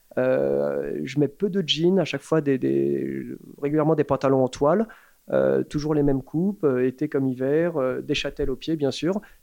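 A man speaks at a fairly slow pace. His loudness stays very even. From France, Paris. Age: 40s. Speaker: shoe brand founder. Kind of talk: casual interview. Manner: hesitant, many fillers.

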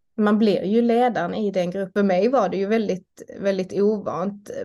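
Against a quiet background, a woman with a dark, mellow tone speaks at a fairly slow pace with fairly even intonation. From southern Sweden, Malmö (Skåne). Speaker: doctor and union chair. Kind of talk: interview. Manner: halting, with repetitions.

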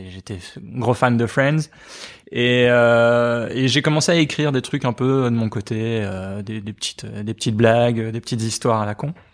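A plain, everyday voice speaks at a fairly slow pace. Its pitch variation is ordinary. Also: man, medium pitch for a man, very clean recording, silent background. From Belgium, Liège. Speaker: cartoonist. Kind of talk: casual interview.

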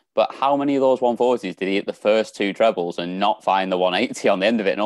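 This speaker has a British accent and a fairly quick pace. The sound is dry and close, with no echo. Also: man, hardly any pauses. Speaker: darts pundit. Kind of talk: casual chat.

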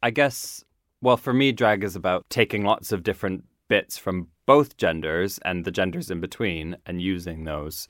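With a Maritime Canadian accent, a man speaks at a moderate pace in a very deep, low pitch. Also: ordinary pitch variation, very clean recording, silent background. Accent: Canadian (Maritimes). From Canada, Nova Scotia. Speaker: drag queen. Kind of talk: casual chat.

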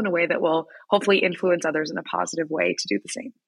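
A bright, sharp tone and a Midwestern American accent come through on a very clean recording with a silent background. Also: woman. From US Midwest, Wichita, Kansas. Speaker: founder of a youth education platform. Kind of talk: interview.

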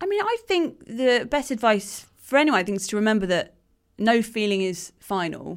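Using a plain, everyday voice, a woman talks at a moderate pace with lively intonation and a fairly high pitch. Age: 20s. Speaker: author and writer. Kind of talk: casual chat.

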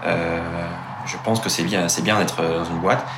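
A man talks fairly quickly, with audible room echo and noticeable background noise around him. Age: 20s. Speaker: startup co-founder and engineer. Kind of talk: interview.

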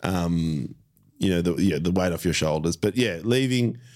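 Here a man with an Australian accent talks at a moderate pace in a very deep, low pitch. The recording is very clean with a silent background. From Melbourne, Australia. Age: 40s. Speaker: comedian. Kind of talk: casual chat. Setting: studio.

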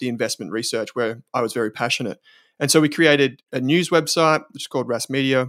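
A man's medium-pitched voice at a very fast pace with fairly even intonation, in a dry, close sound with no echo. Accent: Australian. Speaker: investment company founder. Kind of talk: podcast interview.

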